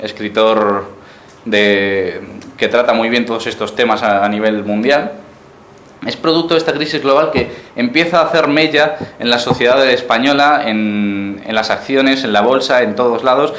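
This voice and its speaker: With a Galician accent, a man speaks at a fairly slow pace over noticeable background noise and audible room echo. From Uruguay, raised in Galicia, Spain. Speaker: political activist speaker. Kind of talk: lecture. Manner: halting, many repetitions.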